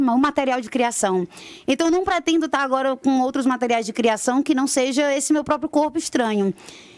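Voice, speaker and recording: With a Ceará accent, a woman speaks at a high pitch with ordinary pitch variation. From Ceará, Brazil. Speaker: stage actress. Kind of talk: radio interview.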